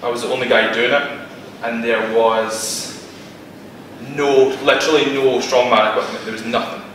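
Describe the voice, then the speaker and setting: A man talks at a moderate pace with ordinary pitch variation. There is audible room echo and light background noise. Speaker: presenter. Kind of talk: lecture. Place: meeting room. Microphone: camera far.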